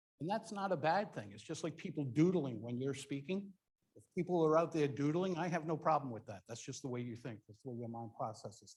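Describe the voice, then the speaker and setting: Speaking at a very fast pace, a man sounds somewhat breathy. His intonation is lively, with big swings in loudness. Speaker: public speaking coach. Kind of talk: workshop presentation.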